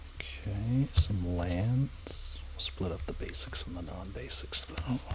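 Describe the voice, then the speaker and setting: Over noticeable background noise, a man talks at a very slow pace in a relaxed tone. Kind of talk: ASMR card-sorting talk to camera. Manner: soft-spoken, whispered, relaxed.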